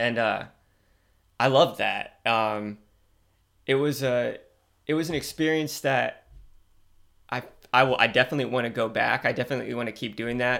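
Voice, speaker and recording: Speaking at a moderate pace with long, frequent pauses, a man has a bright, sharp tone and fairly even intonation on a very clean recording with a silent background. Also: medium pitch for a man. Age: 30s. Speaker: sports podcast host. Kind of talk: casual solo commentary. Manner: halting, many fillers and restarts.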